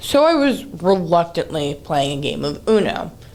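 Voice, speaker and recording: Audible room echo fills the recording. A woman speaks at a fairly slow pace and medium pitch. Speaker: animated storytime youtuber. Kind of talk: storytime monologue. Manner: casual.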